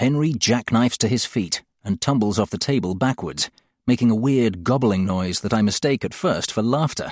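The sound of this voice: Behind the speech, things stay quiet. What you hear is an unforced reading voice.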